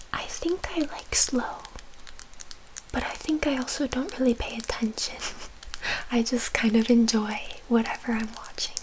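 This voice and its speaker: A woman whispers in a gentle tone at a moderate pace, leaving long, frequent pauses, over noticeable background noise. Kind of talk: ASMR soft-spoken chatting to camera. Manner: soft-spoken, gentle.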